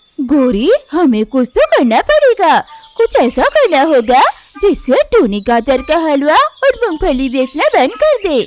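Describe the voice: A woman's cartoonish character voice at a fairly slow pace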